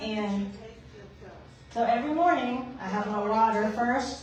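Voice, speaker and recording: With audible room echo and noticeable background noise, a woman speaks at a fairly high pitch with lively intonation. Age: 60s. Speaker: product distributor sharing testimonial. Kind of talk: testimony. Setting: room with live audience. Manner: casual, chatty.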